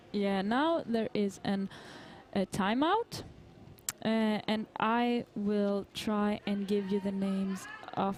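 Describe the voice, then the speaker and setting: Over music in the background, a woman at medium pitch speaks at a very slow pace with long, frequent pauses, very even loudness and ordinary pitch variation. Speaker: roller derby commentator. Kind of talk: live commentary.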